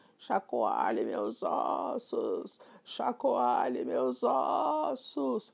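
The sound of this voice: Using a put-on character voice, a man performs. He delivers his lines at a very slow pace.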